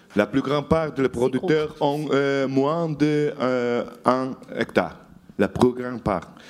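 Speaking at a very slow pace, a man talks in a Portuguese accent. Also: fairly high pitch for a man, ordinary pitch variation. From Portugal, Douro valley. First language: Portuguese (speaking French). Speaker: journalist. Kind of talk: lecture.

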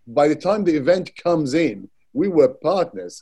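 The speaker is a man. His tone is dark and mellow. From Iraq, Baghdad. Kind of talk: panel discussion.

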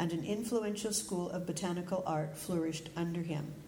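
A woman with a Canadian accent, fairly low in pitch, ordinary pitch variation, plus noticeable background noise and audible room echo. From Calgary, Canada. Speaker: botanical artist. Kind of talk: lecture.

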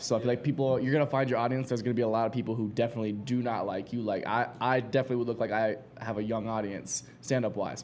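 With music in the background, a man speaks at a very fast pace and medium pitch in an American accent. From Ohio. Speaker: stand-up comedian. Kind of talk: panel discussion. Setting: stage with audience.

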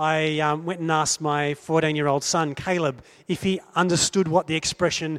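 On a very clean recording with a silent background, a man speaks with an Australian accent. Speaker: preacher. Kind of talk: sermon.

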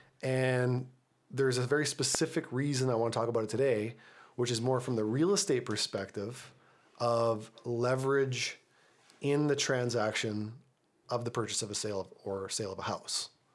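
With an unremarkable speaking voice, a man talks at a moderate pace and medium pitch with ordinary pitch variation. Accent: Canadian. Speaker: real estate agent and podcast host. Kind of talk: casual panel discussion. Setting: on location, background noise.

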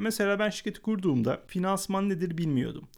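Recorded very cleanly against a silent background, a man speaks with a high pitch. His voice makes very wide pitch swings. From Adana, southern Turkey. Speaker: podcast host and entrepreneur. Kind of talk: solo podcast monologue.

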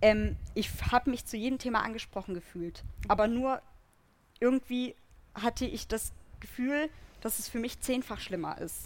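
With long, frequent pauses, a woman talks at a moderate pace and a fairly high pitch with ordinary pitch variation. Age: 20s. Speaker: activist. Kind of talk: live panel discussion. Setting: stage with audience outdoors.

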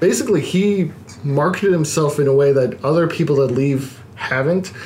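Over noticeable background noise and audible room echo, a man with an American accent talks at a moderate pace, his fairly high pitch showing ordinary variation. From Baltimore, US. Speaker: independent wrestler. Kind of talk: casual chat. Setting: studio.

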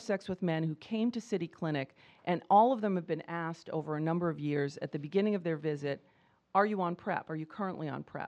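A woman speaks at a fairly quick pace in a fairly low pitch, with ordinary pitch variation. Hers is an unremarkable speaking voice, and the background is quiet. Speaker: professor and HIV prevention researcher. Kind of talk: medical lecture. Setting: conference talk with audience.

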